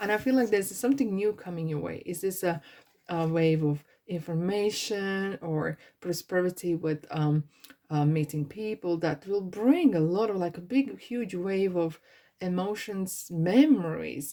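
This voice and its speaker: A woman at medium pitch, with ordinary pitch variation and a fairly slow pace. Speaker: tarot card reader. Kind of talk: pick-a-card tarot reading. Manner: animated.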